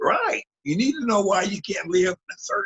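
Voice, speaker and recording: A man with an American accent at a moderate pace. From US West Coast (San Diego). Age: 70s. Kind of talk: interview.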